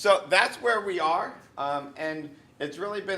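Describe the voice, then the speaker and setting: Someone with a Northeastern US accent talks fairly slowly in a bright, sharp tone with ordinary pitch variation. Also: man. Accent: Northeast US. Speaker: university vice provost. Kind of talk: informal campus presentation. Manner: casual, hesitant with frequent ums.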